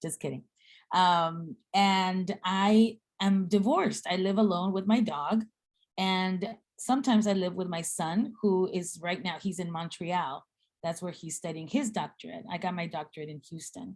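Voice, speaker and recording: A woman with an American accent speaks at a medium pitch, her loudness swinging widely, her pitch varying in an ordinary way, and her voice somewhat breathy. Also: moderate pace. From Guatemala and South Texas (Rio Grande Valley). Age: 50s. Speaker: seminary dean and speaker. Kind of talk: talk in a speaker series.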